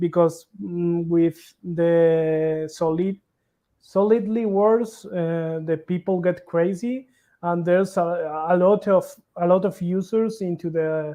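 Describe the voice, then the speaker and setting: The speech comes at a very slow pace in a non-native accent. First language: not English. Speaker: crypto project developer. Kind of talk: interview. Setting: livestream. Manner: halting.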